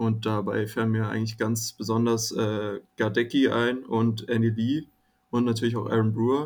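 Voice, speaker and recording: The recording is very clean, its background silent. A man talks at a medium pitch in a monotone, flat intonation. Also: moderate pace. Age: 20s. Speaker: student, fan community guest. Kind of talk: casual chat.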